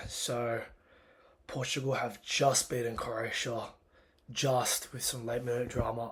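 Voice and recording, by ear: Using a put-on character voice that is raspy and hoarse, a man talks at medium pitch and a fairly slow pace, with monotone, flat intonation and long, frequent pauses.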